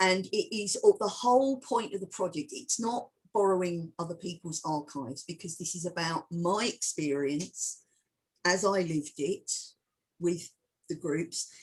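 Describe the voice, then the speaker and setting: A woman with an English accent, lively intonation, an animated tone and a somewhat breathy quality. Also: medium pitch for a woman, fairly slow pace. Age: 60s. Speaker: filmmaker and historian. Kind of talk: interview Q&A. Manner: halting.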